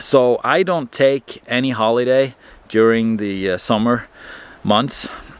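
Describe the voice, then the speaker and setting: A man with a Norwegian accent against noticeable background noise. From Norway. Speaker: marine mechanic vlogger. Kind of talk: casual vlog monologue. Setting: by a fireplace.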